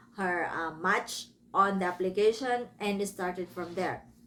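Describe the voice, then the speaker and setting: With a Filipino accent, a woman of medium pitch speaks at a fairly slow pace. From Philippines. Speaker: book reviewer. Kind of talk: casual book review. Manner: casual, self-correcting.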